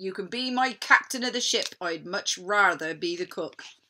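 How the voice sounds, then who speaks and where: Using a put-on character voice, a woman speaks at a moderate pace in a medium pitch. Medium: read story. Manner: blustering pirate talk.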